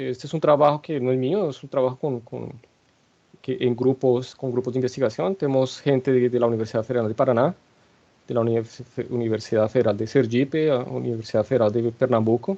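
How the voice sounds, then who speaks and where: Speaking at a fairly quick pace, a man has a dark, mellow tone. His pitch is medium, with ordinary variation. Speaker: statistics researcher. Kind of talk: lecture. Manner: hesitant, many fillers and restarts.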